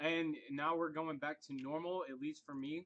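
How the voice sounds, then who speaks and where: A man speaks loudly in a fairly high voice with fairly even intonation. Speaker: forex trading live stream host. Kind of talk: casual live stream chat. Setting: live stream.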